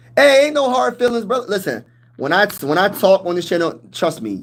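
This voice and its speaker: Loud and high-pitched, a man speaks. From Pennsylvania, US. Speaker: sports YouTuber, military veteran. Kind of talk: live stream chat. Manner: animated.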